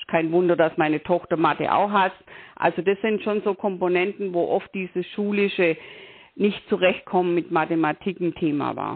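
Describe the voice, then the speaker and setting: Speaking at a moderate pace, a woman keeps a fairly low pitch and fairly even intonation. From Bavaria, southern Germany. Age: 60s. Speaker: tax advisor and coach. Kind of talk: interview. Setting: phone call. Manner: hesitant, many filler sounds.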